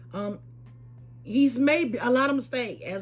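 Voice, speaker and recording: A woman speaks at a fairly slow pace with lively intonation. Music plays in the background, and the room echo is audible. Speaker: lifestyle and shopping vlogger. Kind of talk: casual vlog talk to camera. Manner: hesitant, many fillers and repeats.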